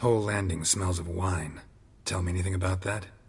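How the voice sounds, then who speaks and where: A man puts on a raspy character voice with a very deep, low pitch. He delivers it in a deadpan tone at a fairly quick pace. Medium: video game. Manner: terse, clipped, deadpan.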